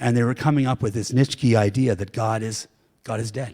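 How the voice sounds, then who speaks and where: The man speaks at a fairly quick pace. His normal speaking voice sits at medium pitch with fairly even intonation. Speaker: pastor. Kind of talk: sermon.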